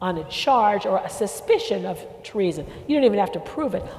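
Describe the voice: The speaker reads aloud. The delivery is plain.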